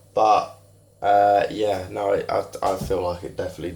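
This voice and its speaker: A man is speaking. He talks with an English accent. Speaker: fitness vlogger. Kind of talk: casual vlog talk. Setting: in a shop.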